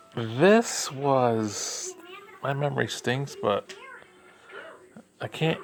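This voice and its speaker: Noticeable background noise sits behind this man. He speaks very slowly, with ordinary pitch variation. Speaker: reviewer. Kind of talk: casual review.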